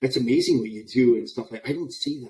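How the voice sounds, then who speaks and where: Dark and mellow in tone, the voice moves through ordinary pitch variation. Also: man. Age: 60s. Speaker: army veteran. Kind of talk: casual chat.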